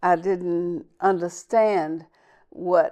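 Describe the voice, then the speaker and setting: With a Southern US accent, a woman talks at a very slow pace in a fairly low pitch, her dark, mellow tone and fairly even intonation set against a quiet background. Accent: Southern US (Georgia). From US South, Southwest Georgia. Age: 70s. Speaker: civil rights leader. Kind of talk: interview.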